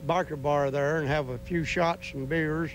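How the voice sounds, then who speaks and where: A man with a Southern US accent, a fairly high pitch and fairly even intonation. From Tennessee, US South. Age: 60s. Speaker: biker. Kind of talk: casual interview.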